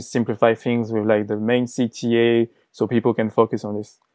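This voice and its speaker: A man speaks against a quiet background. His tone is dark and mellow, with a dry, close sound and no echo. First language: not English. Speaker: designer, former agency owner. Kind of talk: interview.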